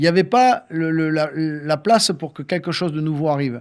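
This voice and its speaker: A man with a fairly high pitch talks at a moderate pace, on a very clean recording over a silent background. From southern France, Toulouse area. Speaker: radio host and singer-songwriter. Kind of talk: interview. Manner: animated.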